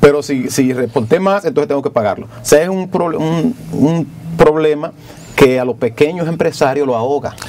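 Moderate pace, ordinary pitch variation and big swings in loudness, over light background noise. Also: man, fairly high pitch for a man. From Dominican Republic, rural. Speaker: politician, congressman; politician. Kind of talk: TV interview. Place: studio. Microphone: lapel.

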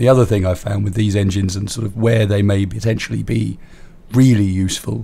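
Here a man talks at a moderate pace with fairly even intonation. His voice is fairly low in pitch and somewhat breathy. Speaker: gaming YouTuber. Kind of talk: gameplay tutorial commentary.

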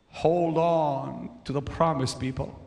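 The man's pace is very slow. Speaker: preacher. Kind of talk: sermon. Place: church. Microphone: handheld.

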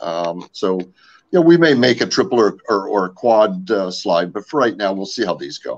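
Speaking with hardly any pauses, a man at medium pitch makes very wide pitch swings. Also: moderate pace. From US West Coast, French-Canadian family. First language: French. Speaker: outdoor gear company founder; guest. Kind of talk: casual interview. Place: home room. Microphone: video call.

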